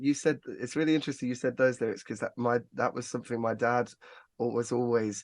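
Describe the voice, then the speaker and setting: Speaking at a fairly quick pace with an English Midlands accent, a man keeps a medium pitch and fairly even intonation over a quiet background. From England, Northampton. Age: 30s. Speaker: singer-songwriter. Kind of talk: casual chat.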